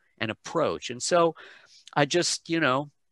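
A man with an American accent at a fairly quick pace, in a dry sound with no echo over a quiet background. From United States, childhood in Malaysia and England. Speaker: pronunciation coach, voice talent, singer. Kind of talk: interview answer. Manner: casual, conversational. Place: home room. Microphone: headset.

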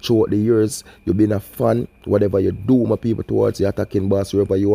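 A man with a Jamaican accent talks at a very fast pace, his fairly low voice dark and mellow. The recording is very clean with a silent background, and the sound is dry and close with no echo. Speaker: YouTube crime news commentator. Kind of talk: vlog commentary. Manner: animated.

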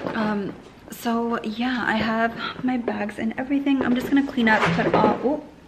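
A woman talks at a moderate pace with a fairly high pitch. Her intonation is fairly even, with faint background noise.

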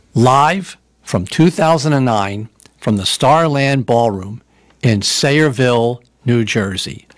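The sound is dry with no echo, and faint music plays in the background. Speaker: radio show host. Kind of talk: radio host introduction.

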